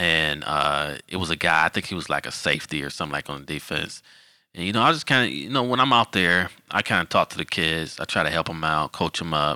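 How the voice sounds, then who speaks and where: A man with an American accent speaks at a very deep, low pitch, his tone bright and sharp. His intonation is lively, and the sound is dry and close with no echo. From Detroit, Michigan. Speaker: football official. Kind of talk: casual interview.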